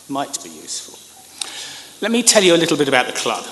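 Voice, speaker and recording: This man talks at a very fast pace with a British accent. Noticeable background noise is present. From United Kingdom. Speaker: government communications expert. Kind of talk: conference speech.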